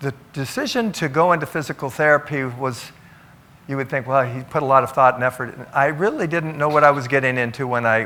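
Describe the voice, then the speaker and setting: A man speaks at a fairly quick pace with a fairly high pitch. His tone is bright and sharp, with ordinary pitch variation. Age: 70s. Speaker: physical therapist. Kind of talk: talk. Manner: halting.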